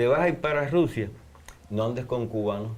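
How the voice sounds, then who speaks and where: Audible room echo accompanies a man speaking at a medium pitch with ordinary pitch variation. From Cuba. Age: 70s. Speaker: anthropologist and religious researcher. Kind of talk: interview.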